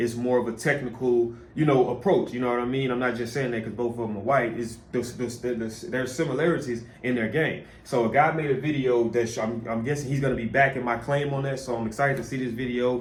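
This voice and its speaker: Against noticeable background noise, a man speaks at a very fast pace with hardly any pauses. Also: medium pitch for a man. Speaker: sports reaction youtuber. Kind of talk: casual reaction commentary. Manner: animated.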